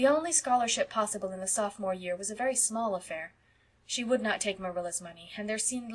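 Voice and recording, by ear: The pitch moves in an ordinary way. A natural voice reads the text aloud.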